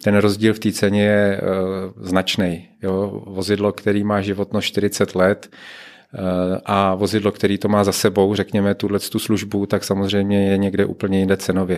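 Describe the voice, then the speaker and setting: A man with fairly low pitch and monotone, flat intonation at a fairly slow pace, over a quiet background. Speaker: product manager and tram development lead. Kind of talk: interview. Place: office. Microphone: studio mic.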